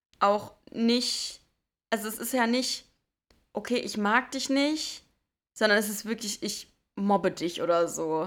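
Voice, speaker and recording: A woman with a fairly high pitch talks at a very slow pace, leaving long, frequent pauses, with ordinary pitch variation, on a very clean recording with a silent background. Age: 20s. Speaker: podcast co-host. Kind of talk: casual chat.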